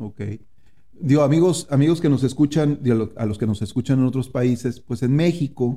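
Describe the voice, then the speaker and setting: A man's voice at medium pitch, dark and mellow in tone, at a moderate pace. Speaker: podcast host. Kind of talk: interview. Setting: on location in San Antonio.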